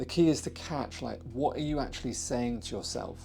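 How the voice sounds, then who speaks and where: A soft-spoken man talks at a fairly quick pace with ordinary pitch variation as music plays in the background. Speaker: relationship coach. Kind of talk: advice talk to camera.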